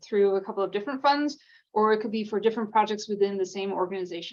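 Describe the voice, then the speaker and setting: A woman speaks at medium pitch. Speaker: grant program staff presenter. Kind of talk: training webinar presentation. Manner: fast; many filler ums.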